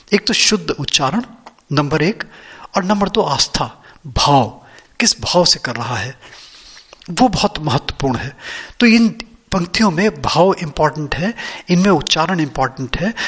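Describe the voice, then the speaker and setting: A man's high-pitched voice with lively intonation and long, frequent pauses, over noticeable background noise. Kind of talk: casual talk to camera, spiritual explanation.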